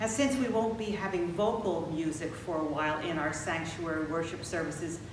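Amid noticeable background noise and audible room echo, a woman with a fairly low pitch speaks at a moderate pace with ordinary pitch variation. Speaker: pastor. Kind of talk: church announcements. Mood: warm, calm, welcoming. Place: church.

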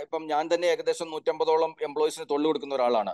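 A man speaks at a fairly high pitch in an unremarkable speaking voice. The sound is dry with no echo, and the background is quiet. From Kerala. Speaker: career counsellor and education consultant. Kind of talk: webinar presentation. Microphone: video call.

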